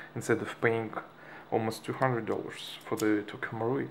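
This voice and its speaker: Ordinary pitch variation in a Russian accent. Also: man. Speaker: airsoft hobbyist. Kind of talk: product tutorial. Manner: halting, many fillers.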